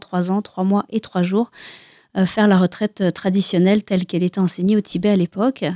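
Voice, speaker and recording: On a very clean recording with a silent background and a dry, close sound without echo, a woman with a dark, mellow tone speaks at medium pitch, with fairly even intonation, at a moderate pace. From France. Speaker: Buddhist lama and author. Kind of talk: radio interview.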